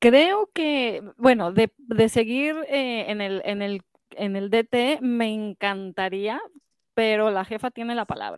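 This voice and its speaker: A woman with a Mexican accent speaks at a very slow pace with a fairly high pitch and ordinary pitch variation. The sound is dry and close with no echo. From Mexico. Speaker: scrapbooking shop owner and event organizer. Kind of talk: casual chat.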